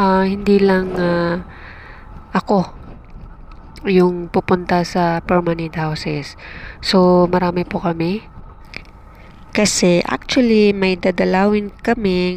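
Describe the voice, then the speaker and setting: The pace is very slow. Long pauses come often. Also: woman. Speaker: travel vlogger. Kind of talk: vlog narration while riding. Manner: hesitant, many fillers.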